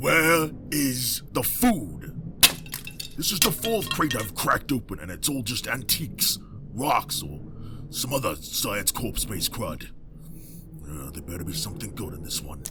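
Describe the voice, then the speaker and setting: A man at medium pitch performs a put-on character voice at a moderate pace. Long, frequent pauses break it up, and there is clear background noise. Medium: audio drama. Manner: aggressive, brash.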